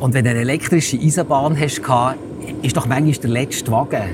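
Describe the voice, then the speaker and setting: Through noticeable background noise, a man with a Bernese accent talks at a very fast pace and medium pitch, with fairly even intonation. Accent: Bernese Swiss German. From Switzerland, Bernese Oberland near Thun. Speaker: paramedic. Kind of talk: casual interview.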